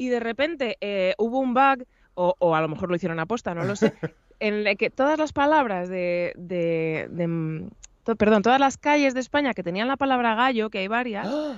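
Against a quiet background, a woman with a fairly high pitch speaks at a moderate pace with lively intonation. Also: dry sound with no echo. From Spain, Madrid region. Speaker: voice actress and announcer; voice actress guest. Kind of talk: interview. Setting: video call. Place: home room. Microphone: studio mic.

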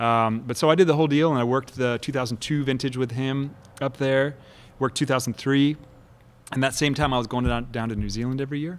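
Fairly quick male speech with fairly even intonation. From Kansas City. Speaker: winemaker; guest. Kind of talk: casual chat. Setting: winery. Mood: relaxed, storytelling. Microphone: studio mic.

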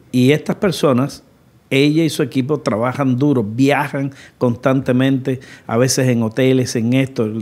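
A man is speaking. His pace is fairly slow. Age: 60s. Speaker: podcast host. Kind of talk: interview. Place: studio. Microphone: studio mic.

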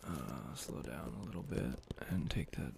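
Soft-spoken and relaxed in tone, the voice moves at a fairly slow pace over light background noise, with a dry sound and no echo. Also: man. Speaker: ASMR creator. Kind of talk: casual talk to camera. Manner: soft-spoken, relaxed, sleepy. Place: home room. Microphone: studio mic.

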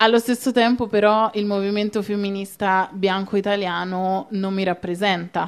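A woman speaks at a fairly slow pace in a medium pitch, her intonation flat and monotone. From Italy, Rome. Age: young. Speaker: activist; guest. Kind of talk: panel discussion. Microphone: handheld.

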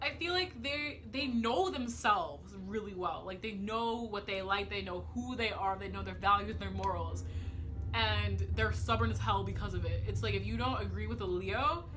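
The voice comes at a moderate pace with clear music in the background. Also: woman. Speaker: vlogger. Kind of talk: casual talk to camera. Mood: playful, joking rants. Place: home room. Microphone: phone near.

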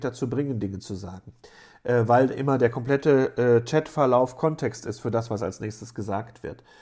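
Against a quiet background, a man speaks in a dark, mellow tone. His pace is moderate and his pitch variation ordinary. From Germany, Rheda-Wiedenbrück (Westphalia); Germany. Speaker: university lecturer. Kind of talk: lecture. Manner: casual with frequent fillers. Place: home room. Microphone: webcam.

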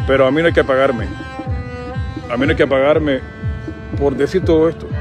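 Clear music plays behind a man with a Cuban accent who talks at a very fast pace with ordinary pitch variation, the sound dry with no echo. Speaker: announcer. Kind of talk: casual talk to camera. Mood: reflective, earnest. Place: street. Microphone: phone near.

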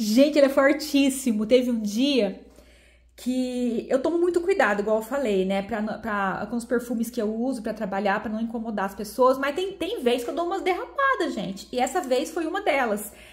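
A high-pitched woman with lively intonation at a moderate pace, amid noticeable background noise. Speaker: beauty YouTuber. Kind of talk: product review. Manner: animated.

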